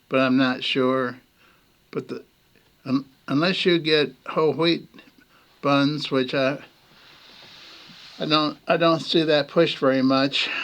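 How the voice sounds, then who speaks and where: Long, frequent pauses break up a man's fairly slow, monotone, flat speech at a fairly high pitch. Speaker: former singer. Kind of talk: casual talk to camera. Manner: hesitant, rambling.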